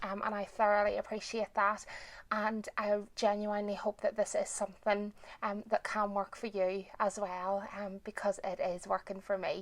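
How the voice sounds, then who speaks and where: This woman has a medium pitch and a monotone, flat intonation at a moderate pace. The recording is very clean, with a silent background. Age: 40s. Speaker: self-help video creator. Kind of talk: casual personal introduction to camera. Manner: hesitant, many ums.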